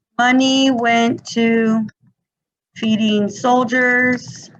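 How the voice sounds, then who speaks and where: A woman's high-pitched, monotone, flat voice at a very slow pace, with audible room echo. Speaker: teacher. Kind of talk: lecture.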